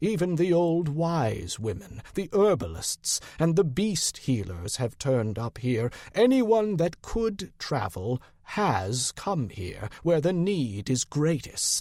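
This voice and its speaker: A man does a put-on character voice at a fairly high pitch, speaking at a fairly slow pace with hardly any pauses on a very clean recording with a silent background. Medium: read story. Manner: weary, blunt, shrewd.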